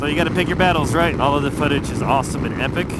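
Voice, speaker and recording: Noticeable background noise and audible room echo fill the recording. A man with an American accent talks at a fairly high pitch with ordinary pitch variation. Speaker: motorcycle travel vlogger. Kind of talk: vlog narration while travelling.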